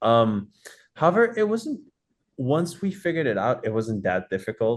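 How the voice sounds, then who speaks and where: A Dutch accent with ordinary pitch variation, against a quiet background. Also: man. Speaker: rock band vocalist. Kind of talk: interview. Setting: video call.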